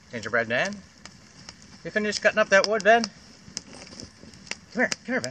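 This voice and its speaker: A man talks with a Canadian Maritime accent. Noticeable background noise runs under his voice. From Atlantic Canada (Maritimes, PEI). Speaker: beer reviewer and bushcraft vlogger. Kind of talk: casual vlog beer review. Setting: outdoors by a campfire. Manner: loud; fast. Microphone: far from the camera.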